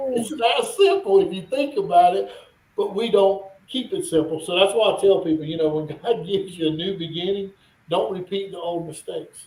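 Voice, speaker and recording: A man with a Southern US accent talks at a high pitch and a fairly quick pace. His pitch variation is ordinary. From North Carolina. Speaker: business owner. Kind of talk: interview.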